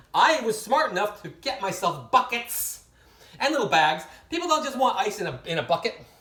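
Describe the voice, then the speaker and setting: At a fairly quick pace, the speaker uses an animated tone over noticeable background noise. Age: 60s. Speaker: hotel night worker. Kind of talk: casual storytelling monologue.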